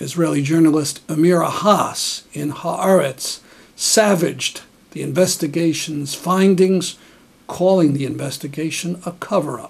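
The man's pitch is high. He talks at a fairly slow pace. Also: fairly even intonation. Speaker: news program host. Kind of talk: scripted news narration. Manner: sardonic. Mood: critical, sarcastic. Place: home room. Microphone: studio mic.

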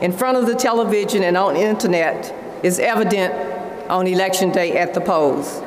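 A woman's voice with audible room echo and light background noise. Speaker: conference host. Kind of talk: prepared speech. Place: hall. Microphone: podium.

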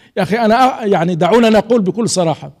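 A man's dark, mellow voice with ordinary pitch variation, set against a quiet background. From Algeria. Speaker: writer and journalist, lecturer; journalist, lecturer. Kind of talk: audience Q&A; lecture. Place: hall. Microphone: podium.

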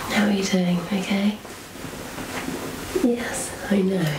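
Noticeable background noise surrounds a woman who is soft-spoken. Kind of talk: ASMR role-play. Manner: soft-spoken, gentle ASMR voice. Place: home room.

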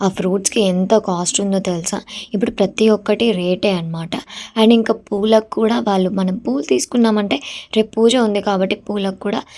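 Her tone is dark and mellow, and this woman's pitch sits at a medium level. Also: ordinary pitch variation. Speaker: vlogger. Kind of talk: vlog narration.

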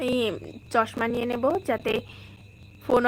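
A woman speaks in a high voice with monotone, flat intonation. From West Bengal, India (Bongaon). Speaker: vlogger and housewife. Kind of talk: casual live-stream chat.

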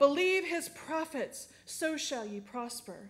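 A woman speaks at a slow pace with a high pitch and lively intonation.

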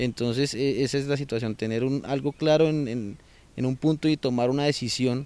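Dry sound with no echo carries a man speaking at a fairly quick pace in a fairly high voice with monotone, flat intonation. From Colombia, Bogotá. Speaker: insurance broker, language student. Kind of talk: testimonial. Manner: halting, many fillers and repetitions. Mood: calm, positive. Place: garden. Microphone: handheld.

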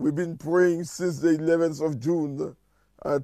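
Fairly even intonation marks a man's fairly slow speech. The sound is dry with no echo and the background quiet. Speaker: church minister. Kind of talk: prayer meeting address and prayer. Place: home room.

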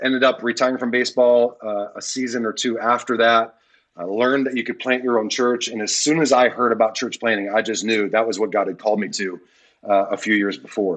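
A man with an American accent talks at a fairly quick pace in an unremarkable speaking voice. His medium pitch holds a fairly even intonation. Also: quiet background. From Detroit, Michigan. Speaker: pastor. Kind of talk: casual interview. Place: home room. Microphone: earbuds.

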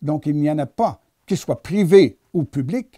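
Over a quiet background, a man speaks at a fairly slow pace. His fairly high voice has a dark, mellow tone and very wide pitch swings. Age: 70s. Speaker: economist and author. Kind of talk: interview. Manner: halting, formal. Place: home room. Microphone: lapel.

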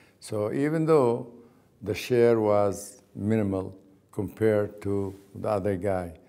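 A man with an Arabic accent speaks at a very slow pace. His fairly low pitch has a dark, mellow tone. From Palestine. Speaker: oral history interviewee. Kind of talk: oral history interview. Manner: halting. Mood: calm, reflective storytelling. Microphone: lapel.

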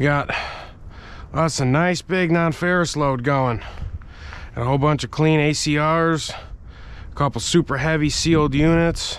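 Fairly slow and with fairly even intonation, a man speaks. The sound is dry with no echo. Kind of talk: casual vlog chat. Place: open country. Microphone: phone near.

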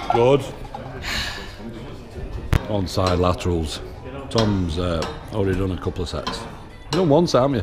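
A man speaks at a moderate pace while clear music plays behind him. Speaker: gym vlogger filming a workout. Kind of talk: casual vlog chat and workout encouragement. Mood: joking, teasing banter. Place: gym. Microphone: phone near.

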